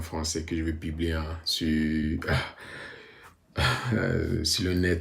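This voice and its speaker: Very slowly, a man speaks at a very deep, low pitch, somewhat breathy, with audible room echo around him. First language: bilingual, mostly English-dominant (speaking French). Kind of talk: personal testimony vlog. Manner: halting, many hesitations.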